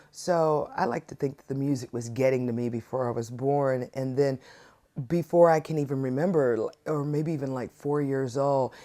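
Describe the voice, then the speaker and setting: Speaking with an American accent, a woman with a very deep, low pitch talks at a moderate pace with ordinary pitch variation. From US South. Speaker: singer-songwriter. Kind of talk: interview.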